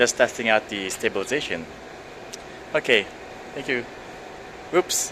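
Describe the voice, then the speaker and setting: Noticeable background noise sits behind a man's medium-pitched voice. He talks at a moderate pace with lively intonation and long, frequent pauses. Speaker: tech reviewer. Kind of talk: casual vlog.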